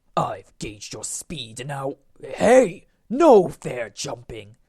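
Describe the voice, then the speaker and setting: The speaker growls in a put-on character voice at a middle pitch and a very slow pace. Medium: solo performance.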